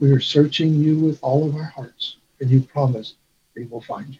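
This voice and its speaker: Somewhat breathy and fairly high for a man, his voice has a dark, mellow tone and a monotone, flat intonation. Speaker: church elder. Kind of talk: testimony.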